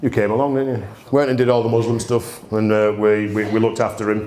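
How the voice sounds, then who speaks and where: A very fast man's voice in a Yorkshire accent at a medium pitch, with audible room echo and noticeable background noise. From Yorkshire, Bradford. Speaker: distillery owner. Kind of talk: storytelling talk. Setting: stage with audience. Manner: animated.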